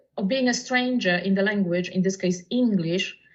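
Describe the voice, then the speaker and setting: A woman with a Polish accent speaks at a moderate pace in a fairly high voice. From Poland. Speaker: poet and translator. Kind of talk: casual chat.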